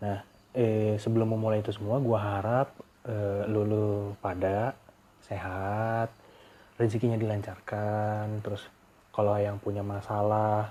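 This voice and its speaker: A man's fairly low, dark and mellow voice in monotone, flat intonation. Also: fairly slow pace. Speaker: podcaster. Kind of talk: casual monologue. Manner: casual.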